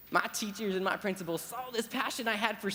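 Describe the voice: The clip is plain reading aloud. The text is simply read out.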